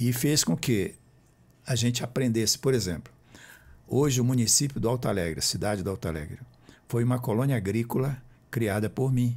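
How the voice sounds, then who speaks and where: Somewhat breathy and medium in pitch, a man talks at a fairly quick pace with ordinary pitch variation and long, frequent pauses, on a very clean recording with a silent background. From Brazil, Roraima (Boa Vista). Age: 70s. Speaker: author and former politician. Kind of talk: interview.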